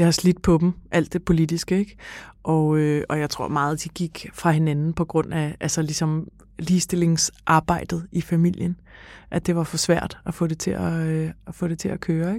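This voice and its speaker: A woman speaks at a fairly slow pace with a fairly low pitch, a dark, mellow tone and flat, monotone intonation, in a very clean recording over a silent background. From Denmark, Copenhagen (Frederiksberg). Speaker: daughter of the featured writer. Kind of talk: interview. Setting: studio.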